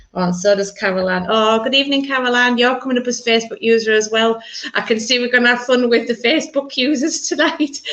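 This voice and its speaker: Noticeable background noise surrounds this recording. A woman speaks in a Yorkshire accent at a fairly high pitch. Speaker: minister leading church service. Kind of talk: online church service.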